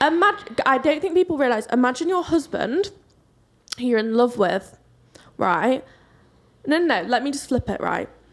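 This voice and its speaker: Loud and at a moderate pace, a woman with a British accent speaks at a high pitch with very wide pitch swings and long, frequent pauses. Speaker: podcast co-host. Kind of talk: casual chat.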